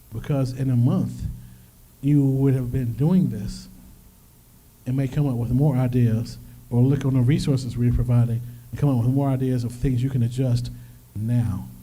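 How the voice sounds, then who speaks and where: A man's medium-pitched voice, dark, mellow and somewhat breathy, at a moderate pace with fairly even intonation and long, frequent pauses, in a room with audible echo. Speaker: financial workshop presenter. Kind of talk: workshop presentation.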